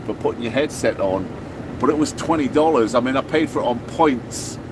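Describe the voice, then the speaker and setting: A man with an English accent speaks at a fairly high pitch. Noticeable background noise sits behind him. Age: 50s. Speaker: truck driver vlogger. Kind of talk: casual vlog monologue. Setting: in a truck cab at a truck stop.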